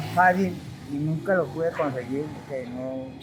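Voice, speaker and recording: A man speaks at a fairly slow pace, his pitch varying in an ordinary way, with noticeable background noise behind him. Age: 60s. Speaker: street interviewee. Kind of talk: street interview. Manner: halting.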